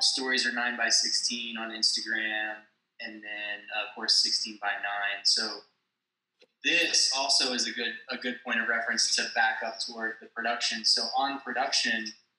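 A man speaks at a fairly low pitch with a bright, sharp tone and little pitch movement. Audible room echo surrounds his voice. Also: moderate pace.

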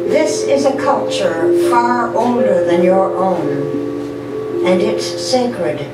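A woman speaks at a very slow pace over loud background music, with audible echo in the room. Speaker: poet. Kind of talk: poetry reading. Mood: solemn, measured. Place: cafe. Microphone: camera far.

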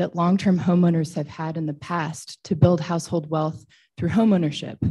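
A woman's fairly low, somewhat breathy voice with a dark, mellow tone, fairly even intonation, a moderate pace and a Western US accent, against a quiet background. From Boise, Idaho, US; Idaho. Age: 30s. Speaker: public commenter. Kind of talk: public testimony. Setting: public hearing. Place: hall. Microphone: podium.

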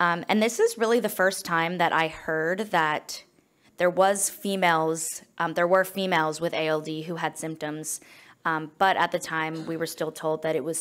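With an American accent, a woman speaks in a fairly low pitch and with fairly even intonation. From United States. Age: 20s. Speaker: nonprofit founder. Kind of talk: conference presentation. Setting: stage with audience. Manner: fast talker. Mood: personal, earnest storytelling. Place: meeting room. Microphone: podium.

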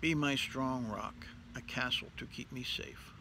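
A man speaks at a fairly slow pace with vocal fry. The sound is dry with no echo, over light background noise. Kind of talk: liturgical reading. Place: garden. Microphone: phone near.

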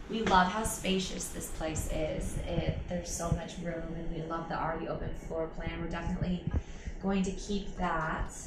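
Over loud background noise, a woman speaks at a moderate pace with audible room echo. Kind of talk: casual vlog chat. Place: home room.

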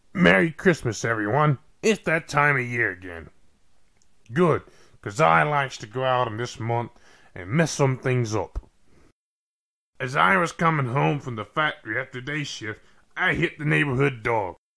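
Putting on a raspy character voice, a man with a medium pitch speaks at a moderate pace, swinging his pitch very widely and leaving long, frequent pauses, in a very clean recording with a silent background. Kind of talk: comic drunken monologue. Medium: voice reel. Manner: rambling, careless. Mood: jolly, rambling.

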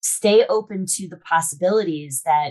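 A woman with lively intonation at a moderate pace, over a quiet background. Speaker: podcast guest, sales expert. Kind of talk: interview answer. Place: home room. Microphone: video call.

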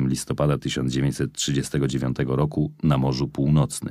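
A man's voice has a dark, mellow tone with vocal fry. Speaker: audiobook narrator. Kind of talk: audiobook reading aloud of a memoir, first-person narrative.

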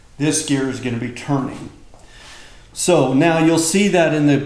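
The speech moves at a moderate pace with fairly even intonation. Room echo is audible. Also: man. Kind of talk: tutorial. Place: garage. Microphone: camera far.

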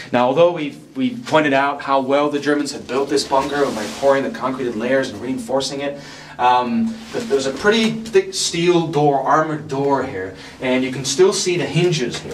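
A man at a moderate pace with big swings in loudness, amid audible room echo and light background noise. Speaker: site guide. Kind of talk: guided tour explanation. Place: tunnel cave.

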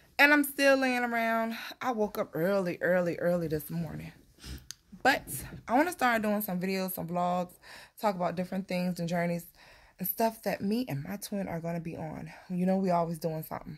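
Ordinary pitch movement from a woman at a moderate tempo, quiet surroundings behind her. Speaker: vlogger. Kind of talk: casual vlog chat. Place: home room. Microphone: phone near.

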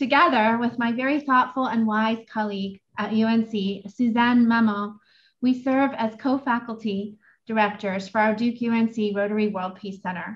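Her intonation stays fairly even, and the woman's voice is somewhat breathy. She speaks at a moderate pace. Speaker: moderator. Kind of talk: formal introduction. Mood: warm, smiling. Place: home room.

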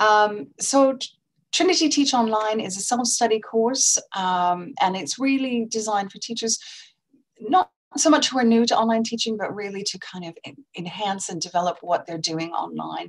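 A normal speaking voice from a woman, fairly high in pitch, with lively intonation and big swings in loudness against a quiet background. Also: moderate pace. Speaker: exam board representative. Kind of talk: sponsor product presentation. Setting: online conference. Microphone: video call.

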